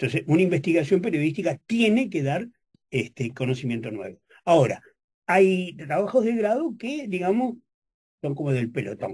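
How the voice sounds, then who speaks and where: A man speaks at a moderate pace in a high voice, his pitch swinging very widely against a quiet background. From Uruguay. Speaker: journalist and professor; journalist, professor. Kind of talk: radio interview. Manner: halting, many fillers. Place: studio. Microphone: studio mic.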